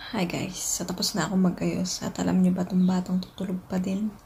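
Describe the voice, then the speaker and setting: A woman with a medium pitch talks at a moderate pace over noticeable background noise. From Philippines. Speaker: vlogger, mother. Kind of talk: casual vlog talk to camera. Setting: at home. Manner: quiet, lowered voice so baby can sleep.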